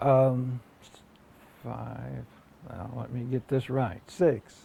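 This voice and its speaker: Speaking very slowly, a man lets his loudness swing widely. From southeastern Ohio, US. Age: 60s. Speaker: oral history interviewee. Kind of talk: oral history interview. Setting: at his home. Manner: halting, many fillers.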